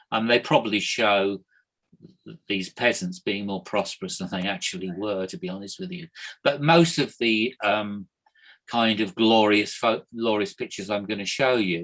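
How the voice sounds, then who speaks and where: A man with an unremarkable speaking voice talks at a moderate pace. His pitch is fairly low and his intonation lively. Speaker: history lecturer. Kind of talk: online lecture. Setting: video call.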